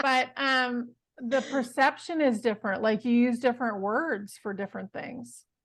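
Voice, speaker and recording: Moderate pace in an American accent, ordinary pitch variation and a quiet background. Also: woman, high pitch for a woman. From United States. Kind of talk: casual chat.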